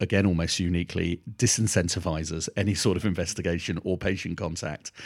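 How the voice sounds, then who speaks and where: In a very clean recording with a silent background, a man with a British accent speaks at a very fast pace in a very deep, low pitch with fairly even intonation. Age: 50s. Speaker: pediatric allergy doctor. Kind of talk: interview.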